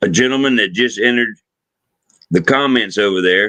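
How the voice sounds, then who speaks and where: This man speaks at medium pitch with a Southern US accent. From US South. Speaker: livestream host. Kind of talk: casual chat. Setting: live stream.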